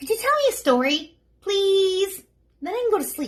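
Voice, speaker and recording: A woman does a squeaky put-on character voice at an extremely high pitch. She speaks at a moderate pace. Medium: read story. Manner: polite, wheedling.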